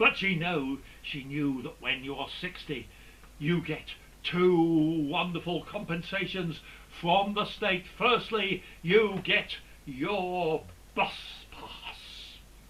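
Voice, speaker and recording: Over noticeable background noise, a man talks at a very slow pace with a high pitch, ordinary pitch variation and big swings in loudness. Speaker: comedian. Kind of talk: stand-up.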